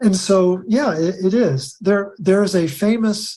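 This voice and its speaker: His voice has a dark, mellow tone and sounds somewhat breathy. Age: 70s. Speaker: author on nutrition and minerals. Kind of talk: interview.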